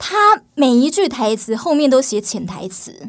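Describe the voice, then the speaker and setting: Against a silent background in a very clean recording, a woman speaks at a very slow pace. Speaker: entertainment journalist. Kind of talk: casual chat.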